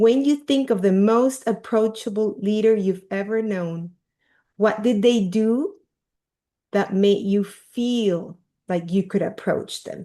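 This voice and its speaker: The voice has a dark, mellow tone and a Peruvian accent. It moves at a very slow pace over a quiet background. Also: woman, fairly high pitch for a woman, ordinary pitch variation. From Peru, Lima. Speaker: leadership coach. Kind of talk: workshop talk.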